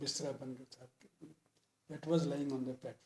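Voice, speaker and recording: A somewhat breathy man's voice, fairly high in pitch, with a dark, mellow tone and monotone, flat intonation. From Punjab. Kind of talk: interview answer.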